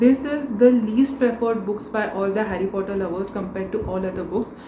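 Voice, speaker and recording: A woman speaks at a moderate pace with a Marathi accent. Noticeable background noise and audible room echo fill the recording. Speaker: book vlogger. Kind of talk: casual vlog talk.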